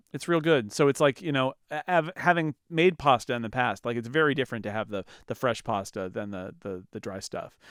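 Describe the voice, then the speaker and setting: Lively intonation marks a man with an American accent speaking at a fairly quick pace in an ordinary speaking voice. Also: medium pitch for a man. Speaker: podcast co-host. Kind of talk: casual chat.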